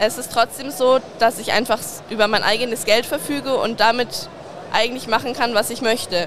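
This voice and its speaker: A woman with a fairly high voice talks at a moderate pace, keeping her intonation fairly even amid noticeable background noise. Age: 20s. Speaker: butcher shop sales trainee. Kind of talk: interview. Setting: trade fair.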